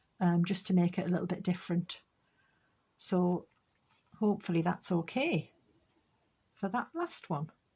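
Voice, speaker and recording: The woman's voice has a medium pitch, a dark, mellow tone and a somewhat breathy quality. The recording is very clean, with a silent background. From northeast England, Northumberland. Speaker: craft demonstrator. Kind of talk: live craft tutorial chat. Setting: live stream. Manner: casual, chatty.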